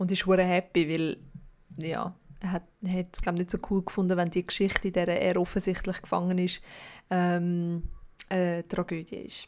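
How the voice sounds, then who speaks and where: At a fairly slow pace, a woman talks in a fairly low pitch with monotone, flat intonation and long, frequent pauses. The recording is very clean, with a silent background. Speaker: podcast host. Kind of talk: casual chat.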